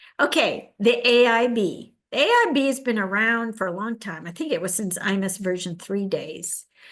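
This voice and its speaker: Against a quiet background, a woman uses an ordinary speaking voice, fairly high in pitch with ordinary pitch variation. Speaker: technical presenter, mainframe specialist. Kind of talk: technical presentation in a virtual meeting.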